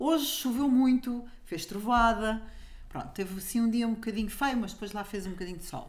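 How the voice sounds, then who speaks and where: A woman's somewhat breathy, fairly high voice at a fairly quick pace with ordinary pitch variation, in audible room echo. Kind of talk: casual chat.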